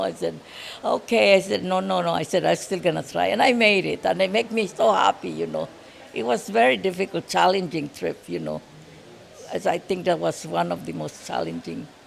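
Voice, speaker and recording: A woman with a very deep, low pitch talks at a moderate pace. Her pitch swings very widely, with noticeable background noise behind her. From Philippines. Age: 80s+. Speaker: world traveller. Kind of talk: interview answer.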